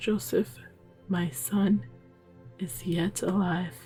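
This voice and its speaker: A soft-spoken woman whispers in a calm tone. Music plays in the background. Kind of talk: sleep story. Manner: soft-spoken, calm; whispered.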